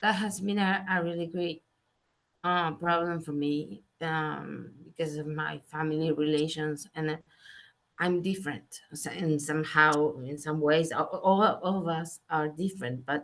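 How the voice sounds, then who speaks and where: Very deep and low, a woman's voice carries a Spanish accent. She speaks at a fairly slow pace with fairly even intonation. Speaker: participant in online chat. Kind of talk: casual chat. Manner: halting.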